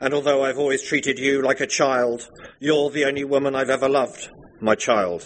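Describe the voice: Simply plain reading aloud.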